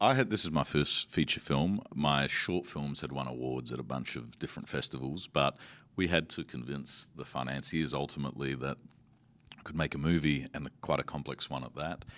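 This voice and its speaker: A man with an Australian accent speaks in a very deep, low voice with vocal fry. His pace is moderate and his pitch varies in an ordinary way. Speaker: film director. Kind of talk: interview.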